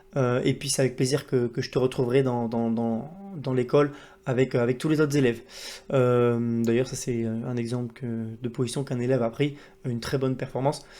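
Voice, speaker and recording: A man with a dark, mellow tone and medium pitch talks at a fairly quick pace in a monotone, flat delivery. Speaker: trading educator and YouTuber. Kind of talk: casual video monologue to camera. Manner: fast, with admitted poor articulation; hesitant, many fillers.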